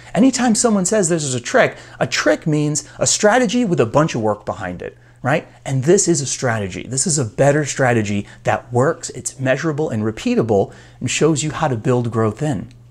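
A somewhat breathy man's voice moves through very wide pitch swings. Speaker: coach. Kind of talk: motivational talk to camera. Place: office. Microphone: lapel.

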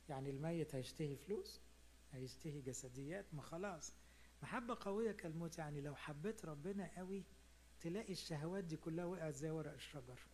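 Over light background noise, a man talks at a moderate pace with a fairly high pitch and ordinary pitch variation. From Egypt. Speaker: priest. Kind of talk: sermon. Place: hall. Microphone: handheld.

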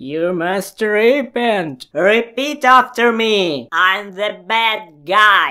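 A cartoonish character voice, female-sounding, at a very slow pace with hardly any pauses. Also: medium pitch for a woman. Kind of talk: mock sermon. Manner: solemn, preachy.

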